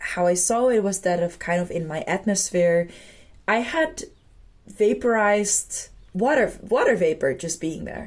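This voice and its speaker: A woman speaks fairly slowly with a Dutch accent. Her medium-pitched voice has lively intonation. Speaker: spiritual vlogger. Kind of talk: personal reflective monologue. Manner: hesitant, with fillers.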